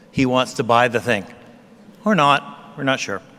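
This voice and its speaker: Moderate pace from a male speaker. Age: 60s. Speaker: convocation speaker. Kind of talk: convocation address.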